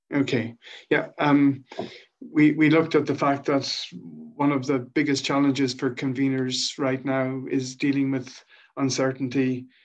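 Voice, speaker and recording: A man with an Irish accent, fairly high in pitch, at a fairly slow pace with fairly even intonation over a quiet background. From Ireland. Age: 50s. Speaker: social enterprise founder and director. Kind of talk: presentation on a video call. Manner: halting, many fillers.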